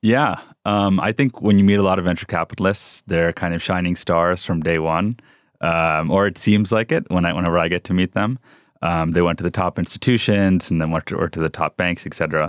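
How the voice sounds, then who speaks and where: With a New York accent, a man speaks fairly quickly in a very deep, low voice and fairly even intonation on a very clean recording with a silent background. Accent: general American, New York. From New York (Rockland County), Indian family. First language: South Indian language. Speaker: venture capital investor. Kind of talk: interview. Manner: many fillers, relaxed.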